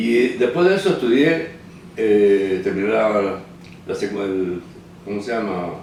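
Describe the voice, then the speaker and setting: Noticeable background noise and audible room echo surround a voice with ordinary pitch variation. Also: man. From Cuba, Holguín province. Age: 70s. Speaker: documentary filmmaker. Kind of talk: interview testimony. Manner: halting, with fillers and repetitions.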